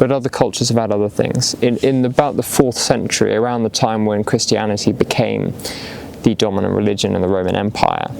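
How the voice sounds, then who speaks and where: Over noticeable background noise, a man with an English accent talks very fast in a fairly low voice with fairly even intonation. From England. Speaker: video essayist. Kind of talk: casual philosophical ramble. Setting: outdoors in the woods.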